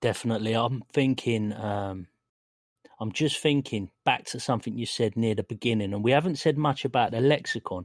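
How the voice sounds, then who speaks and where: A man uses a plain, everyday voice at a medium pitch and a fairly quick pace, with ordinary pitch variation and a dry, close sound with no echo. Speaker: podcast host and game master.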